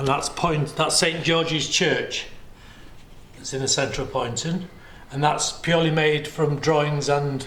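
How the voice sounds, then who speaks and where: With noticeable background noise behind him, a man speaks at a fairly high pitch in a monotone, flat intonation. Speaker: museum guide. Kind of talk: guided tour narration.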